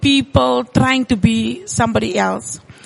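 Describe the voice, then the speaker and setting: A woman speaks at a fairly slow pace while noticeable background noise carries on. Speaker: business owner. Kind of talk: casual interview. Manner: halting, many fillers.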